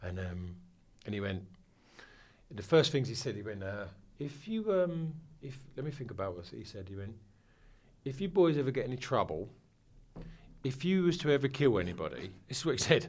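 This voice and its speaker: With a somewhat breathy, medium-pitched voice, a man talks at a fairly quick pace, using very wide pitch swings, big swings in loudness, and long, frequent pauses. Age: 40s. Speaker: club night promoter. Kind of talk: casual chat.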